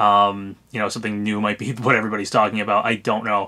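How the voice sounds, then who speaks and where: A man speaks with a bright, sharp tone. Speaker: gaming YouTuber. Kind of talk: casual commentary video. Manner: halting, lots of ums.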